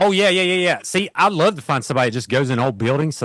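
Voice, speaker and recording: With an Appalachian accent, a man speaks in an animated tone at a fairly high pitch, the sound dry and close with no echo against a quiet background. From southern West Virginia, McDowell County. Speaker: filmmaker and interviewer. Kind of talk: casual podcast interview. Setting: remote call.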